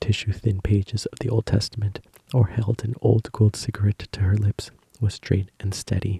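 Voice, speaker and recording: Whispering and soft-spoken, a man talks at a moderate pace in a dry, close sound with no echo. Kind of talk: book reading, ASMR sleep story. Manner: soft-spoken, whispered.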